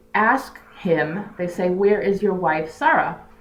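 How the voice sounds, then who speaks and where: Audible room echo surrounds a woman speaking at a fairly slow pace with medium pitch and ordinary pitch variation. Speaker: religious teacher. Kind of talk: lecture.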